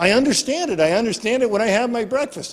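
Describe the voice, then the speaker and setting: Very wide swings in pitch run through this man's speech. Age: 60s. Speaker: professor. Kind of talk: interview. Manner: halting.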